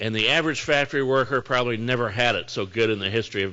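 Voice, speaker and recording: A man speaks at a medium pitch with a US Midwestern accent. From northern Indiana, US Midwest. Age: 60s. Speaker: mayor. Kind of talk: lecture. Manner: casual, conversational.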